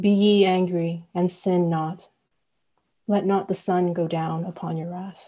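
Against a quiet background, a woman speaks fairly slowly in a dark, mellow tone with monotone, flat intonation. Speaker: poet reading her work. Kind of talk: poetry reading. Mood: calm, measured, intimate. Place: home room. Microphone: earbuds.

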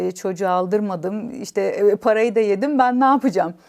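A woman speaks at a fairly quick pace with lively intonation. The recording is very clean with a silent background. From Istanbul village, Bartın family roots. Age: 40s. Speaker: language academy founder. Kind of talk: personal life story interview.

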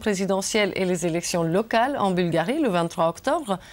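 A woman at a moderate pace with lively intonation. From Bulgaria. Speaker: member of European Parliament. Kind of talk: TV interview. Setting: studio. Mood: calm, earnest. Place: studio. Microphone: lapel.

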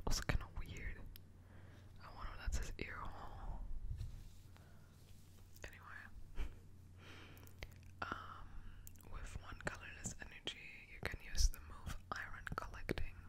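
Whispering at a fairly slow pace, a woman leaves long, frequent pauses, her loudness swinging widely. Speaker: Pokemon ASMR content creator. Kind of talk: ASMR card-opening, casual talk to camera. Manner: whispered, soft. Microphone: studio mic.

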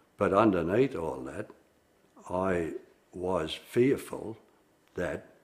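An Australian-accented man speaks at a very slow pace. His pitch is very deep and low. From Melbourne, Australia. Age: 70s. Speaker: former union organiser. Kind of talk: interview answer. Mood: reflective, sombre. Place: studio. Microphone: lapel.

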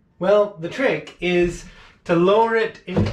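A man speaks slowly with a high pitch and ordinary pitch variation. Room echo is audible.

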